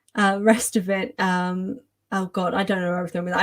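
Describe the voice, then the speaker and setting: A woman with an English accent speaks in a somewhat breathy voice with fairly even intonation. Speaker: author and YouTuber. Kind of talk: livestream chat. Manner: flustered, halting.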